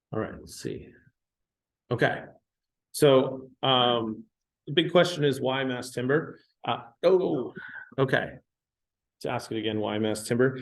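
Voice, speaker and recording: A man speaks at a medium pitch and a fairly slow pace, with vocal fry and ordinary pitch variation. His loudness swings widely, and he leaves long, frequent pauses. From Canada, Vancouver Island. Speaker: building enclosure engineer. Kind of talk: technical presentation. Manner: halting, many fillers.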